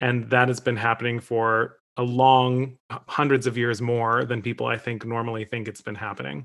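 Using an ordinary speaking voice, a man with a medium pitch talks at a moderate pace with fairly even intonation. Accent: American. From Michigan (Detroit area). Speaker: opera singer. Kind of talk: casual discussion.

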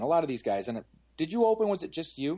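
Against a quiet background, a man with a Canadian accent and a dark, mellow tone races along at a very fast pace with very wide pitch swings. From London, Ontario, Canada. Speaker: car detailing shop owner. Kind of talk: casual interview.

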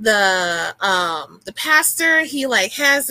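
A woman projects a raised voice with a bright, sharp tone. Her pitch swings very widely. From New Orleans. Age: 30s. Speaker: writer and spiritual healer. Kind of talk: casual chat.

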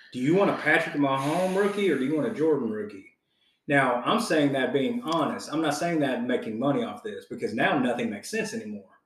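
A man's fairly high voice at a very fast pace, full of very wide pitch swings. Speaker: podcast host. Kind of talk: casual chat. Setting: recording at a house. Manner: profane, casual.

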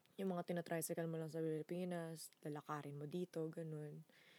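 In a Filipino accent, a woman speaks in a very deep, low pitch with monotone, flat intonation and long, frequent pauses. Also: dry, close sound with no echo. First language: Tagalog. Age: 20s. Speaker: podcast co-host. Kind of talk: casual chat.

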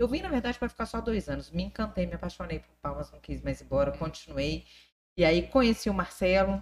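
Her loudness swings widely as the woman talks at a fairly quick pace. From Brasília. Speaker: state politician. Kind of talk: casual interview.

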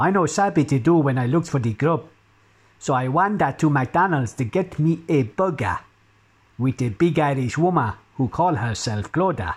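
A man speaks at a moderate pace in a fairly high, somewhat breathy voice. His intonation is lively and his loudness very even. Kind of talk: comic satirical poem performed in a put-on accent. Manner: rhythmic, rhyming couplets delivered in a mock-pidgin voice.

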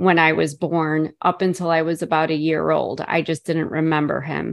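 Against a quiet background, a woman with an American accent talks at a fairly slow pace in a fairly low pitch. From Chicago. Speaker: author and abuse survivor. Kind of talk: interview testimony.

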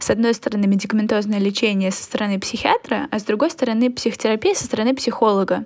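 A woman speaks very fast with hardly any pauses and a fairly high pitch. Her intonation stays fairly even over noticeable background noise. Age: 20s. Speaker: psychology student and podcast co-host. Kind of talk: casual chat.

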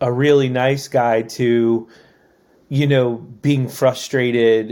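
A man with a medium pitch and fairly even intonation speaks at a very slow pace. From Maryland, US (Annapolis). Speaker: tattoo artist and former tour crew member. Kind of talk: casual interview.

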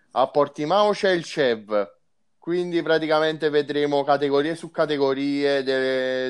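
A man talks at a fairly slow pace and a medium pitch. He has an ordinary speaking voice. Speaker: motorsport journalist. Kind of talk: casual chat.

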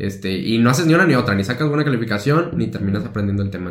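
Medium-pitched male voice with audible room echo. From Mexico, Tepic (Nayarit). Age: 20s. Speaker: university student. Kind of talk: casual chat.

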